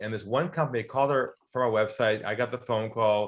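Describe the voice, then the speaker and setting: An American man talks at a fairly quick pace in a normal speaking voice. His pitch varies in an ordinary way against a quiet background. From US, California. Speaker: sales author and consultant. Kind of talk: interview storytelling.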